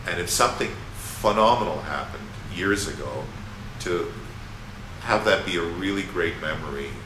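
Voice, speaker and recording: Through noticeable background noise and audible room echo, a man with a fairly low pitch and ordinary pitch variation speaks with long, frequent pauses. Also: moderate pace. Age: 60s. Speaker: musician and former academic. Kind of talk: interview. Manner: halting, many fillers and repeats.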